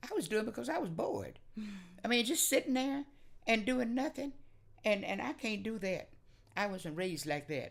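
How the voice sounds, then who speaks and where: With an American accent and vocal fry, a woman speaks at a moderate pace in a fairly high pitch that makes very wide swings. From Oklahoma. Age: 80s+. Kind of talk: oral history interview answer.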